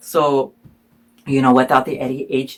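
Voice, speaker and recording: A man with a Spanish accent. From Iowa, US Midwest. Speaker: student vlogger. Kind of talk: personal storytelling. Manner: casual, many fillers.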